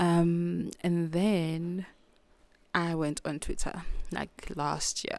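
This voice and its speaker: Very slowly and in a monotone, flat intonation, a woman with a South African accent speaks with long, frequent pauses. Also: fairly low pitch for a woman. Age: 30s. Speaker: podcast host. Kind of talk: casual monologue. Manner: halting, self-interrupting.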